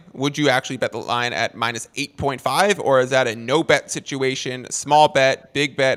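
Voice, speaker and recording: An ordinary speaking voice with an American accent, at a moderate pace with hardly any pauses, fairly even intonation and a dry, close sound with no echo. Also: man. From Boston. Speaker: sports betting podcast host. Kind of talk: casual chat. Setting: video call.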